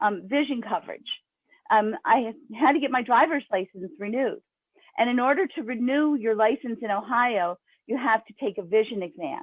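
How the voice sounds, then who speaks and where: A woman with a plain, everyday voice, fairly high in pitch, with lively intonation and big swings in loudness. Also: moderate pace. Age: 60s. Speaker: urban farmer and grassroots activist. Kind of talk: testimony.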